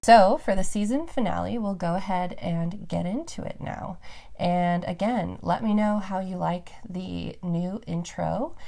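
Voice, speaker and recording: A woman's voice has a dark, mellow tone and medium pitch. She talks at a fairly slow pace with ordinary pitch variation. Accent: American. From Reno, Nevada, US West. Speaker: podcast host. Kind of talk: casual chat.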